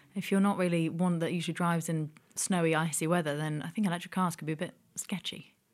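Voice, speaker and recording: Talking at a very fast pace, a woman uses a monotone, flat intonation at a fairly low pitch. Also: very clean recording, silent background. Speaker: podcast co-host. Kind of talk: casual chat. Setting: studio.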